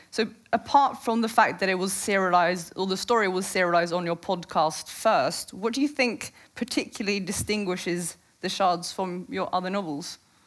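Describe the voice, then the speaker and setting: A woman speaks at medium pitch with a Norwegian accent and ordinary pitch variation. Her pace is moderate, and the recording is very clean with a silent background. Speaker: journalist and moderator. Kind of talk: on-stage interview. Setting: stage with audience.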